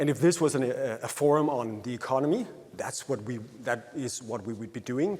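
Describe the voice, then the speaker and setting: This man speaks with a Danish accent. His pace is fairly quick. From Denmark. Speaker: happiness researcher. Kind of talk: conference talk. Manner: halting.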